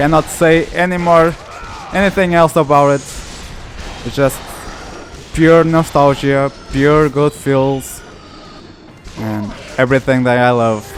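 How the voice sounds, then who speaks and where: A man with a Portuguese accent talks at a fairly slow pace, his fairly high voice showing ordinary pitch variation and long, frequent pauses. Music plays in the background. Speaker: gaming YouTuber. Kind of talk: let's play commentary. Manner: halting, self-correcting.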